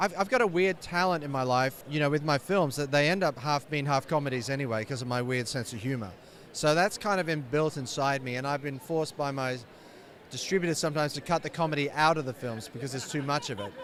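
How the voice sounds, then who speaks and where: At a very fast pace, a man speaks in a fairly high voice with ordinary pitch variation. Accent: British. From UK. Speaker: film director. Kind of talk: interview.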